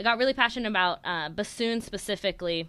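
Bright and sharp in tone, a woman talks with lively intonation in a Californian accent on a very clean recording with a silent background. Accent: General American (California). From Sacramento, California. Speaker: podcast co-host, restaurant team leader. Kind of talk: casual chat.

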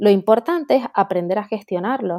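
A woman talks at a moderate pace in a dark, mellow tone with ordinary pitch variation, the sound dry and close with no echo on a very clean recording with a silent background. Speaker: career coach, former law graduate. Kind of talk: interview conversation.

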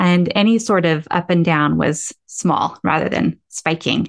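Somewhat breathy and at medium pitch, a woman speaks with ordinary pitch variation in a dry, close sound with no echo. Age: 40s. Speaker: podcast host and meditation guide. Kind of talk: casual chat.

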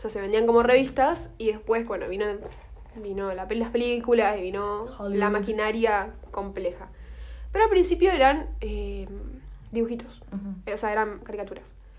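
Audible room echo surrounds a woman's fairly high voice, which has ordinary pitch variation. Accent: Argentine. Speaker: podcast co-host. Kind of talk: casual chat. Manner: fast.

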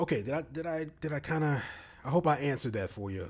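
A man talks at a fairly quick pace with vocal fry and a fairly high pitch. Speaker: podcast host. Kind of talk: casual solo commentary.

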